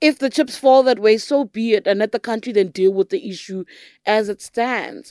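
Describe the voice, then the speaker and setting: With a South African accent, a woman speaks at a fairly high pitch with ordinary variation, the sound dry and close with no echo. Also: moderate pace, very clean recording, silent background. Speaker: political journalist and podcast host. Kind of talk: interview. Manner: pressing, interrupts often.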